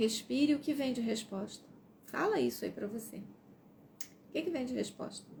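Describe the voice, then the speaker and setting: The intonation is lively. Vocal fry runs through the voice. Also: woman, fairly high pitch for a woman, fairly slow pace. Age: 60s. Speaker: self-help presenter. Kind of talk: live stream book reading with commentary.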